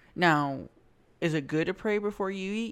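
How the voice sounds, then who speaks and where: The background is silent on this very clean recording. A woman talks at a fairly slow pace. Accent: Louisiana. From US South. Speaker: podcast host. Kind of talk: casual chat. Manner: halting.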